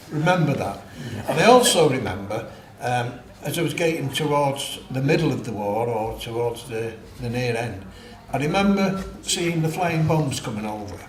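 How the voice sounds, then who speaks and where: Through audible room echo and noticeable background noise, a man speaks at a fairly high pitch. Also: lively intonation, moderate pace. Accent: Mancunian. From Manchester, northern England. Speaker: war-era witness. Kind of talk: oral history interview. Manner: halting.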